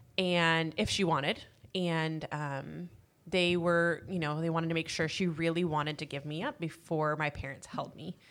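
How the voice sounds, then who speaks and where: At a moderate pace, a woman talks in a flat, monotone way. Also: fairly low pitch for a woman, very clean recording, silent background. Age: 30s. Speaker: adoptee. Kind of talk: casual chat.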